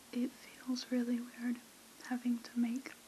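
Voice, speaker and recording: Soft-spoken and fairly slow, a woman talks over light background noise. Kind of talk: casual vlog chat. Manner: soft-spoken murmur. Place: home room.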